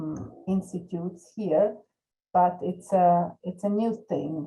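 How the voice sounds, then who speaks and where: A woman's somewhat breathy, dark and mellow voice, fairly low in pitch, very slow, with fairly even intonation. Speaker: research data repository head and sociologist. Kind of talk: panel discussion. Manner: halting, many repetitions and fillers.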